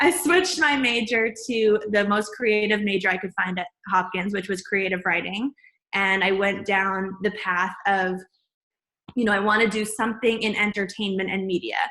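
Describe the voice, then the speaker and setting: A woman's bright, sharp voice sits at a medium pitch with fairly even intonation. Her pace is moderate. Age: 20s. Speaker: video producer and lifestyle host. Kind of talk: interview.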